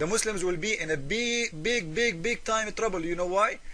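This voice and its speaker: At a moderate pace, a man uses a raised, projected voice. His pitch is high, with ordinary variation. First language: Arabic. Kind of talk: polemical commentary video. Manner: hesitant with fillers.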